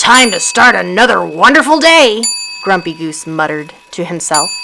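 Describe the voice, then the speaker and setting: In a put-on character voice of middle pitch, the speaker moves at a moderate pace through very wide pitch swings. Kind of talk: bedtime story reading.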